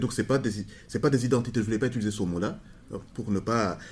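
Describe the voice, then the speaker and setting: Somewhat breathy, a man's fairly low voice moves with ordinary pitch variation. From Rwanda. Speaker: sociologist. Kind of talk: interview. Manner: halting.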